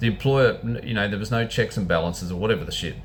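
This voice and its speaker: A man's voice with vocal fry and lively intonation, plus audible room echo. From New Zealand. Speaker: vlogger, former butcher. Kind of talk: casual monologue. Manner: halting, repetitive.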